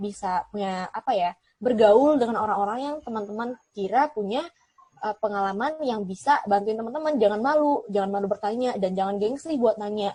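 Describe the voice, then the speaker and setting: A shrill woman's voice at a fairly quick pace. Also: ordinary pitch variation. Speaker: TV presenter and alumna. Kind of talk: interview. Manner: casual, chatty.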